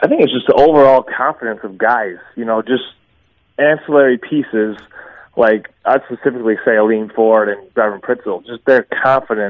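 A plain, everyday voice from a man at medium pitch, moderate pace and fairly even intonation. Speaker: former college basketball player. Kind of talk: radio interview. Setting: phone call.

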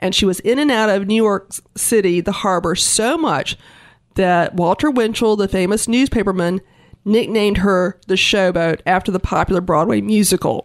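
A woman with a plain, everyday voice speaks at a moderate pace and medium pitch, with ordinary pitch variation and very even loudness. The recording is very clean, with a silent background. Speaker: museum director. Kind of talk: casual interview.

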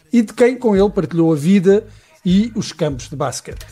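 High-pitched male voice with lively intonation at a fairly quick pace. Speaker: radio host. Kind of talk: casual chat.

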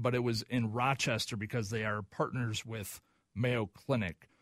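A man with an American accent talks at a moderate pace in a dry, close recording with no echo, very clean and set against a silent background. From Oklahoma. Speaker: fill-in radio co-host. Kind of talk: casual chat. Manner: halting.

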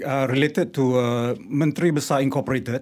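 With a Malaysian accent, a man speaks with ordinary pitch variation on a very clean recording with a silent background. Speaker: wildlife photographer and ex-lecturer. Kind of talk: radio interview. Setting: studio.

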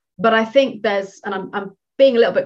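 A woman with a British accent and fairly high pitch. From Britain. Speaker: career coach. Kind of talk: interview.

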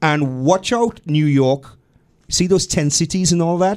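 A man with a Trinidadian accent and a high pitch speaks at a fairly slow pace. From Trinidad and Tobago. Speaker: political activist. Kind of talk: radio interview. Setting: radio studio. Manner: lilting, melodious.

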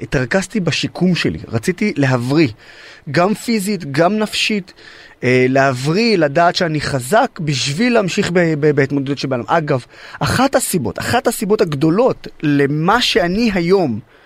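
At a fairly slow pace, a man speaks in a fairly high pitch with very wide pitch swings. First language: Arabic (speaking Hebrew). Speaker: activist and social media influencer, wounded army veteran. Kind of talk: interview.

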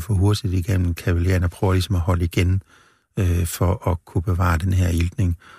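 Somewhat breathy and very deep, low in pitch, a man speaks with fairly even intonation, the sound dry and close with no echo on a very clean recording with a silent background. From rural central Jutland, Denmark. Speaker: medical professor and brain researcher. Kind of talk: interview. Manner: halting, many fillers.

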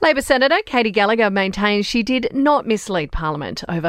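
A woman in a normal speaking voice, fairly quick, with lively intonation. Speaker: news podcast presenter. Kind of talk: formal newsreading, scripted bulletin. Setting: studio. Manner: brisk, even and authoritative; measured and businesslike.

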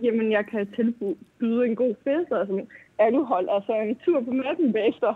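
A woman with a fairly high pitch talks at a moderate pace in an unremarkable speaking voice, her pitch varying in an ordinary way. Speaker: caller. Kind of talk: call-in conversation. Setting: phone call.

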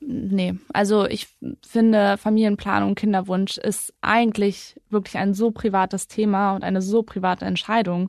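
With a quiet background, a woman talks at a moderate pace in a medium pitch, her delivery monotone with flat intonation. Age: 20s. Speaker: climate activist and carbon management consultant. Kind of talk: interview.

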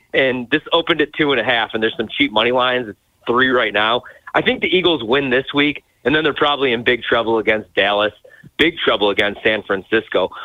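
A man speaks in an ordinary speaking voice at a medium pitch. He talks at a fairly quick pace with ordinary pitch variation. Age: 30s. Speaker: sports betting analyst. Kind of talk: radio interview. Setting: phone call.

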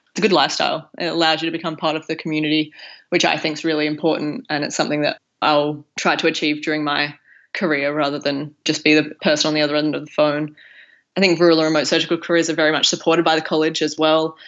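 A woman with an Australian accent talks very fast in a very deep, low voice with monotone, flat intonation. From Broken Hill, far west New South Wales, Australia. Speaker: junior doctor and PhD student. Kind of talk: interview.

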